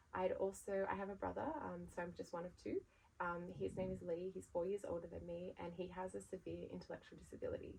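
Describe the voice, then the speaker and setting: A woman talks in an Australian accent. Her pace is very fast. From Australia, Sydney. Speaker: brand founder. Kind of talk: podcast interview. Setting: podcast recording.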